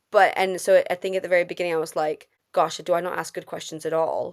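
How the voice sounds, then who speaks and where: A woman talks at a fairly quick pace with a fairly low pitch. The recording is very clean, with a silent background. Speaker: trainee maths teacher, podcast co-host. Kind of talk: casual podcast conversation. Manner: fast.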